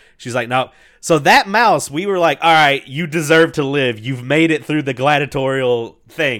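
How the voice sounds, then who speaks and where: Speaking at a moderate pace, a man with an unremarkable speaking voice has a fairly high pitch and ordinary pitch variation. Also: very clean recording, silent background. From US South, Mississippi River area. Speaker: podcast host. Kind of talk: casual banter.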